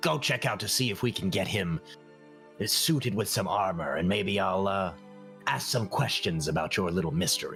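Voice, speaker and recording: Clear music plays in the background as a man uses a put-on character voice at a moderate pace. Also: fairly low pitch for a man. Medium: actual play. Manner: hesitant, dry, halting with pauses.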